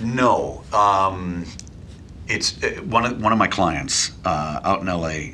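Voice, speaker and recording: In a Midwestern accent, a man speaks very slowly with a very deep, low pitch and lively intonation. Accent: general American (Midwest). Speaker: voiceover artist, former radio DJ. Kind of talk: casual interview. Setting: studio office. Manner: witty, conversational.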